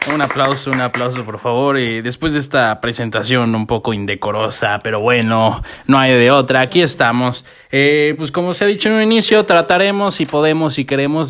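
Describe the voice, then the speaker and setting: This man has a medium pitch and a Mexican accent. His intonation is lively. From Mexico, Morelia, Michoacán. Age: 20s. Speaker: podcast co-host. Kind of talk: casual chat. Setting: home.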